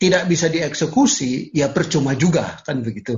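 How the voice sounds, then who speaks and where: Speaking at a fairly slow pace, a man with vocal fry and fairly high pitch makes very wide pitch swings. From Papua, Indonesia (Sorong). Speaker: lawyer. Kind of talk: lecture.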